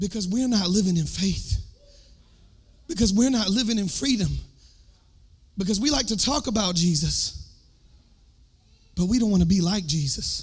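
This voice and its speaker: A man with a Southern US accent, high-pitched and animated, his intonation lively, broken by long, frequent pauses, with audible room echo. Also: moderate pace. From US South. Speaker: worship leader and preacher. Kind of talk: sermon.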